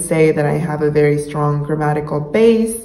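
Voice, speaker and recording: A woman with a Spanish accent speaks in a very deep, low voice, with noticeable background noise and audible room echo. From Mexico, Monterrey. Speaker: YouTuber, language learner. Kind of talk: casual vlog talk.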